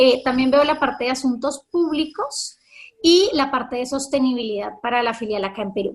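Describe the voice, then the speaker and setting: A high-pitched woman talks at a medium speed, her pitch shifting by a normal amount. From Colombia. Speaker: corporate communications manager. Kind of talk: webinar conversation.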